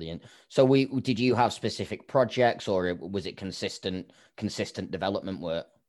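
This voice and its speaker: Speaking with an English accent, a man talks at a moderate pace in a fairly low voice. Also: ordinary pitch variation. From England. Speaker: podcast host. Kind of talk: interview.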